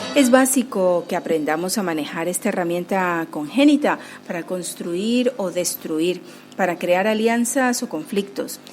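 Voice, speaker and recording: At a fairly slow pace, a woman with an unremarkable speaking voice speaks at a medium pitch with lively intonation. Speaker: radio host and coordinator. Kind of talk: radio show presenting.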